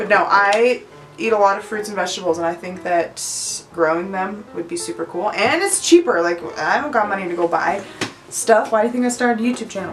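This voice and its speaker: Over noticeable background noise, a woman speaks fairly quickly at a medium pitch with ordinary pitch variation. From Utah. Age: 20s. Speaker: YouTuber, childcare worker. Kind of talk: casual chat. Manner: animated.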